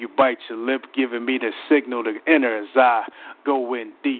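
A man with a normal speaking voice, medium pitch, moderate pace and fairly even intonation. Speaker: spoken word poet. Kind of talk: spoken word poetry performance.

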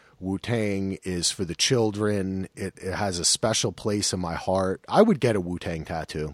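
An unremarkable speaking voice, this man talks with an American accent at a moderate pace with hardly any pauses, using a fairly low pitch and ordinary pitch variation, in a very clean recording with a silent background and a dry, close sound with no echo. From New Jersey. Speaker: podcast host. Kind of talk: casual chat.

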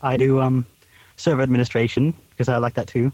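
A man rattles along at a very fast pace, his pitch sitting at a medium level. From Alaska, US. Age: 20s. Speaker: blind guest, aspiring network administrator student. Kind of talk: casual chat. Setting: video call, satellite internet with dropouts. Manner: hesitant, many filler words.

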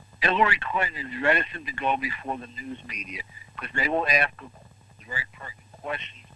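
With noticeable background noise, a man speaks at a moderate pace with an American accent. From New York City. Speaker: medical doctor, weekly political commentator. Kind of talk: radio phone interview.

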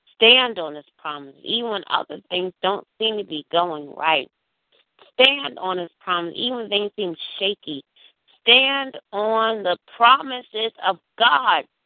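Medium in pitch and lively in intonation, a woman has an unremarkable speaking voice with big swings in loudness. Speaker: prayer call leader and minister. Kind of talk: fervent prayer. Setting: phone prayer call. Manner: rhythmic, repetitive, pleading; intense, emotionally charged, worshipful.

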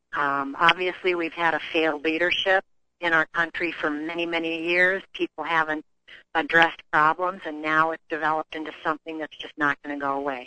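In a dry, close sound with no echo, a woman speaks at a fairly quick pace with a very deep, low pitch, a bright, sharp tone and monotone, flat intonation. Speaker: author. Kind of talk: radio interview.

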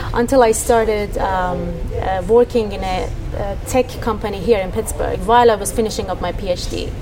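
With audible room echo and noticeable background noise, a woman speaks in an Iranian accent. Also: moderate pace. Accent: Iranian (Persian) English. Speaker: tech startup co-founder. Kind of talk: radio interview. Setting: on location at a startup space. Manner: hesitant, many fillers.

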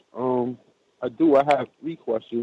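With an American accent, a man speaks at a medium pitch in an unremarkable speaking voice with fairly even intonation. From New York. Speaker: caller. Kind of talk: call-in question.

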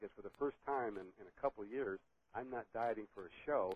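The man uses an ordinary speaking voice, moving fairly quickly with ordinary pitch variation. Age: 60s. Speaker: master bodybuilder. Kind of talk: casual interview chat.

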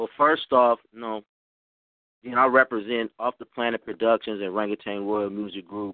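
A man with an American accent speaks in an ordinary speaking voice at a moderate pace and medium pitch, with fairly even intonation but big swings in loudness. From Oakland, California. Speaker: rapper. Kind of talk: radio interview.

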